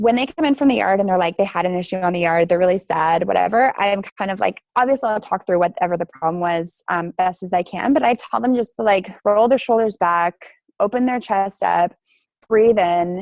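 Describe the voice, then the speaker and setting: In a dry, close recording with no echo, a woman with a slight Canadian accent speaks at a medium pitch, fairly quickly, with lively intonation. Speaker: teacher and applied researcher. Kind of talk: conference talk with Q&A. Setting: video call.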